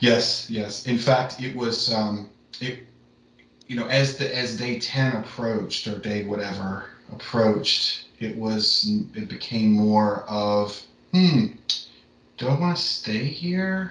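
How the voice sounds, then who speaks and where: Over noticeable background noise, a man speaks very slowly at a medium pitch with ordinary pitch variation and long, frequent pauses. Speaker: meditation practitioner. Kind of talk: casual chat.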